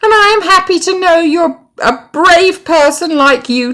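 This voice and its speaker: Squeaky and extremely high-pitched, this put-on character voice is raised and projected at a moderate pace. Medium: read story.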